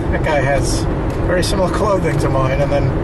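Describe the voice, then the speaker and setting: Loud noise runs through the background. A man talks at a moderate speed over it. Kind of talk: casual vlog chat. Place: car. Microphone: camera far.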